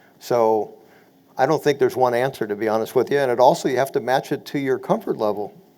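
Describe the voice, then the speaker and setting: This man talks at a very fast pace in a medium pitch with ordinary pitch variation. His tone is dark and mellow. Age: 60s. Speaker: real estate investor panelist. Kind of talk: webinar panel discussion.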